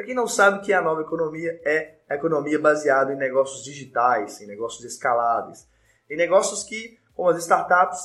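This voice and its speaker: This man's voice sits fairly high, and its pitch varies normally. He talks rather briskly. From Brazil, Minas Gerais (Belo Horizonte). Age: 20s. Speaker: lawyer and law professor. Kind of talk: live-streamed lecture with audience Q&A. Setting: online live stream. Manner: fast.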